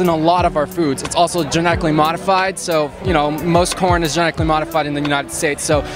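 Clear music plays behind a man who speaks very fast, his sound dry with no echo. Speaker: interviewee. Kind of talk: interview answer. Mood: cheerful, earnest. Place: street. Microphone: handheld.

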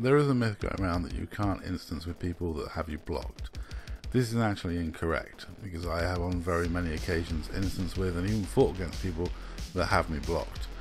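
A somewhat breathy voice with lively intonation. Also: man. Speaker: gamer, video creator. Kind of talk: casual gameplay commentary.

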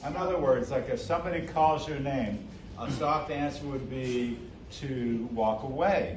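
Audible room echo surrounds a man who speaks at a fairly slow pace. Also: medium pitch for a man, ordinary pitch variation.

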